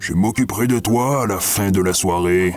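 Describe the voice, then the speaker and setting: A man's put-on character voice, rumbling and growling at a fairly low pitch, over clear background noise. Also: moderate pace. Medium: read story. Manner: gruff, commanding.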